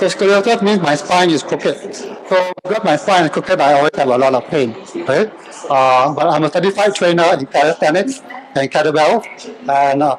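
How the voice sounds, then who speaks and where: Over noticeable background noise, a man with a high pitch and a Singaporean accent talks at a fairly quick pace with lively intonation and very even loudness. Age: 60s. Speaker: fitness trainer. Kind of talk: workshop presentation.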